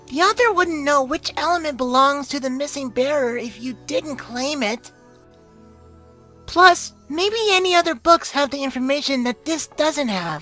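The speaker uses a put-on character voice at a moderate pace. Music plays faintly in the background. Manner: casual, friendly.

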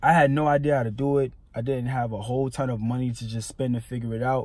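A man talks at a very fast pace with fairly even intonation. The sound is dry with no echo, and the background is quiet. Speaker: entrepreneur vlogger. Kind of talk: motivational vlog talk. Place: car. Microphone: phone near.

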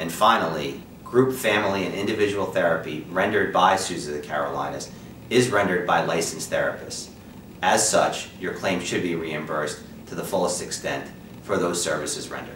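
A man with a very deep, low pitch and ordinary pitch variation speaks at a fairly quick pace, with audible room echo and light background noise. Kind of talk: scripted informational presentation. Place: office.

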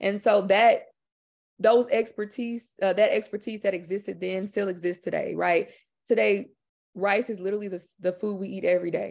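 In a normal speaking voice, someone talks at a moderate pace with fairly even intonation against a quiet background. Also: woman, medium pitch for a woman. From Houston, Texas, with Louisiana Creole family. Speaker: filmmaker and author. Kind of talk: presentation and discussion. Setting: video webinar. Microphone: video call.

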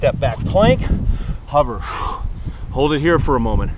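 Noticeable background noise surrounds a man who speaks at a fairly slow pace, with a dry sound and no echo. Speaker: fitness instructor. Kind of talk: guided yoga workout instruction with upbeat banter. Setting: outdoors. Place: open country.

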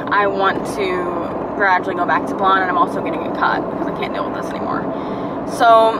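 A woman speaks with ordinary pitch variation over loud background noise. The sound is dry with no echo. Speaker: vlogger. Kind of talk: casual vlog chat. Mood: relaxed, chatty. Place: car. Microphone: phone near.

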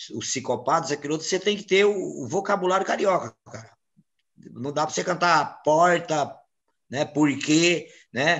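The man talks at a moderate pace with ordinary pitch variation. His voice sits fairly high, over a quiet background. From Brazilian Northeast. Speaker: samba composer and singer; interviewee. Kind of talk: interview; interview answer. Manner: halting, many repetitions. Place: home room. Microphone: video call.

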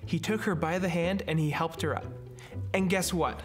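A man talks while clear music sounds behind him. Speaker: storyteller host. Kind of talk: children's story reading. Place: studio.

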